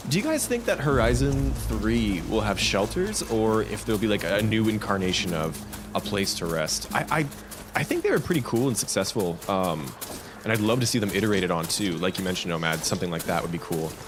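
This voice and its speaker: A man's very deep, low voice, animated in tone with very wide pitch swings, at a fairly quick pace with music in the background. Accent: Canadian. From Canada. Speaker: gaming streamer. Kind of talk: live stream chat.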